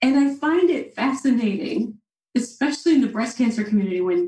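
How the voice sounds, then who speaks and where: Speaking in an American accent, a woman uses a high pitch, lively intonation, and a dark, mellow tone at a fairly quick pace. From Central Illinois, US Midwest. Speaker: registered dietitian. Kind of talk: podcast interview. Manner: animated.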